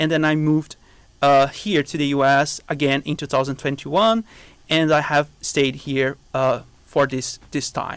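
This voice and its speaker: Pitched fairly high, a man talks at a fairly slow pace with fairly even intonation. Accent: Brazilian. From southern Brazil. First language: Portuguese. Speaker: biology professor. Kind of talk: interview.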